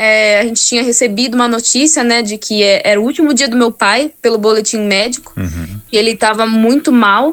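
A woman with an ordinary speaking voice, fairly high-pitched, at a moderate pace with fairly even intonation and hardly any pauses. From Brazil, Campinas (São Paulo state). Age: 20s. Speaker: gospel singer. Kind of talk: interview.

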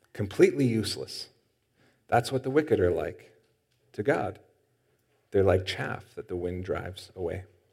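Somewhat breathy and fairly low in pitch, a man speaks at a moderate pace with lively intonation and long, frequent pauses. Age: 30s. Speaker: pastor. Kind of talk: sermon.

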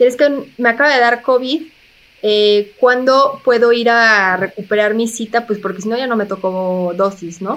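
A woman speaks in an unremarkable speaking voice, fairly high-pitched, with ordinary pitch variation at a moderate pace. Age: 30s. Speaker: physician and health communicator. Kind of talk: interview.

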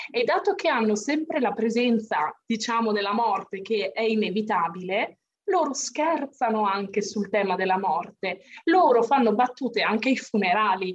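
In a normal speaking voice, a woman with a fairly high pitch talks at a moderate pace with lively intonation and very even loudness. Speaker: English tutor. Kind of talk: casual discussion of a book.

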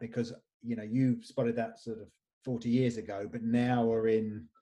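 His tone is dark and mellow, his pitch medium. The man keeps a moderate pace. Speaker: podcast host. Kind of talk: casual interview chat. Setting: video call.

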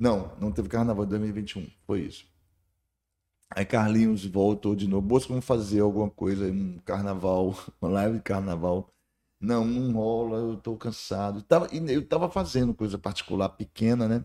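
Ordinary pitch variation shapes a voice with a dark, mellow tone. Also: man, fairly low pitch for a man, moderate pace, very clean recording, silent background. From Bahia, Brazil (Barreiras, western Bahia). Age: 50s. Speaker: singer. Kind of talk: casual interview.

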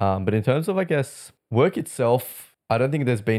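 In a very clean recording with a silent background, a man with an Australian accent talks at a fairly quick pace. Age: 20s. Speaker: airline industry worker. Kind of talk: casual chat.

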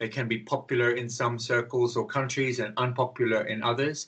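With an Australian accent, a man speaks at a moderate pace. His pitch is medium. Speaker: drugs counsellor and activist. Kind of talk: interview.

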